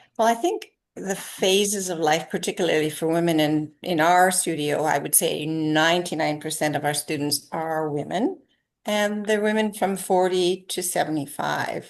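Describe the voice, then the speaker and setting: The speaker has an unremarkable speaking voice, moving at a moderate pace with ordinary pitch variation. Behind it, the background is quiet. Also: woman, fairly low pitch for a woman. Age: 60s. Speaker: yoga teacher. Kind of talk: interview.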